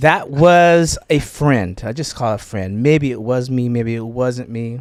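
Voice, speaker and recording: In an American accent, a man with a plain, everyday voice talks at medium pitch and a fairly slow pace with ordinary pitch variation, on a very clean recording with a silent background. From California Central Valley (Mendota area). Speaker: podcast producer and musician. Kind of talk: casual chat interview. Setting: home recording studio.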